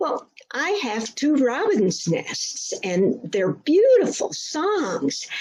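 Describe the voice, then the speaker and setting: A woman's put-on character voice, high-pitched and at a very slow pace. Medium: read story.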